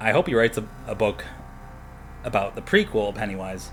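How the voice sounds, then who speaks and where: A man speaks softly. His pace is moderate. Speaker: podcast host. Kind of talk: casual monologue. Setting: home apartment at night. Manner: quiet, speaking softly.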